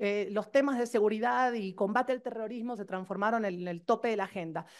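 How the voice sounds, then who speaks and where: A woman speaks at a fairly quick pace with a fairly high pitch. Her pitch varies an ordinary amount, over a quiet background. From Argentina. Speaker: professor. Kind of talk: conference talk. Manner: fast.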